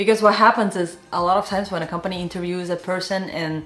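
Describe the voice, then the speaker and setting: A woman with a non-native accent over noticeable background noise. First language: not English. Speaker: animation artist and career advice youtuber. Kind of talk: career advice talk to camera. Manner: casual, filler-heavy.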